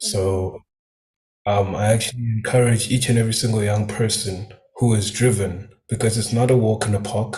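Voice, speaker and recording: A man with an Eswatini accent talks at a moderate pace. His fairly low voice stays flat and monotone. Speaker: new business member. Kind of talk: testimony. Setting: live stream.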